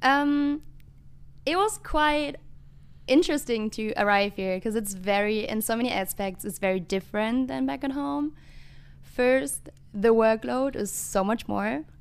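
A woman in a German accent speaks at a fairly high pitch and a fairly slow pace. Her pitch swings very widely. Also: very clean recording, silent background. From western Germany. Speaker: international student. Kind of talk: casual interview. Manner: hesitant, many fillers.

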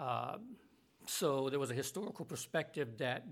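A man with an American accent, fairly high pitch, lively intonation and a moderate pace, an unremarkable speaking voice. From US South. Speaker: Bible college administrator and professor. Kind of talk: interview conversation.

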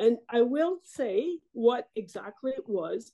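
The delivery is slow, with a dark, mellow tone and lively intonation. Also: woman.

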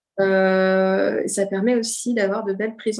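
A woman's fairly slow, monotone delivery with flat intonation. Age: 30s. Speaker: speech therapist. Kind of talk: casual interview.

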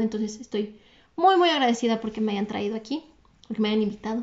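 A fairly high-pitched woman in a Mexican accent, with ordinary pitch variation. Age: 20s. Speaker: entrepreneur. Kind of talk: podcast interview. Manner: fast, energetic.

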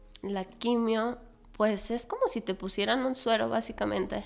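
A woman talks with usual pitch movement while clear background noise carries on. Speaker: speech therapist and cancer survivor. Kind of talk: interview conversation, testimony. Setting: in person, same room. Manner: animated.

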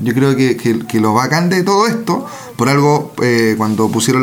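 The pace is moderate, with ordinary pitch variation. Noticeable background noise and audible room echo fill the recording. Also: man. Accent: Chilean. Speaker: film podcast co-host. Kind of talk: casual chat.

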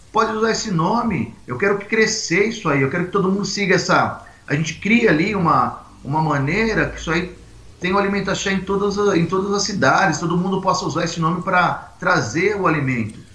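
A man talks at a fairly quick pace in a high pitch, with ordinary pitch variation. Audible room echo and noticeable background noise fill the recording. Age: 40s. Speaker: Umbanda priest. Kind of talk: casual interview on a livestream. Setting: video livestream.

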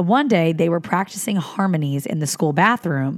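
A woman with an American accent and a fairly low pitch speaks in an animated tone at a moderate pace. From Philadelphia, US. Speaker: podcast co-host. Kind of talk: casual chat; reading aloud.

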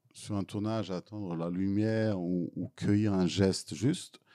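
A man speaks at a very slow pace with a Serbian accent, his pitch fairly low and his tone dark and mellow. The sound is dry and close, with no echo. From Serbia (former Yugoslavia). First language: Serbian (speaking French). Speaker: film director. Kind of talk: Q&A after a film screening. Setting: cinema hall with audience. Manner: halting, frequent repetitions.

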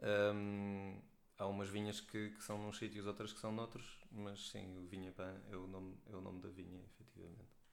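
With a fairly low pitch, a man talks at a moderate pace in a monotone, flat manner, and audible room echo surrounds him. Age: 30s. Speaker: wine trade professional. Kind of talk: casual chat.

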